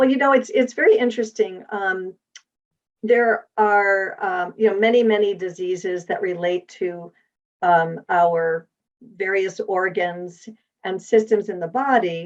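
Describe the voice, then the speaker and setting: The speaker has an unremarkable speaking voice with ordinary pitch variation. The pace is fairly slow. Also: woman, medium pitch for a woman. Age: 60s. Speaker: wellness advocate. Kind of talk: podcast interview.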